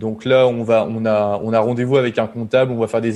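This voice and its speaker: The voice has a dark, mellow tone and moves at a fairly quick pace with monotone, flat intonation. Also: man. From northern France, Pas-de-Calais (Boulogne-sur-Mer). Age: 30s. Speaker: software developer and startup cofounder. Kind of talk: podcast interview. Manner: hesitant, many fillers.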